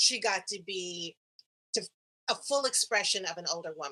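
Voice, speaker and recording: This woman has a bright, sharp tone and ordinary pitch variation at a moderate pace. The sound is dry and close, with no echo. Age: 70s. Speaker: actress. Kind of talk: casual chat.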